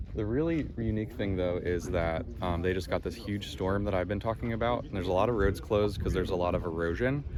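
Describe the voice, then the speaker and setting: With an American accent, a man talks very fast in a very deep, low voice with lively intonation and hardly any pauses. Noticeable background noise and audible room echo fill the recording. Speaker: travel vlogger. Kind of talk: casual vlog narration. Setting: outdoors. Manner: casual, filler-heavy.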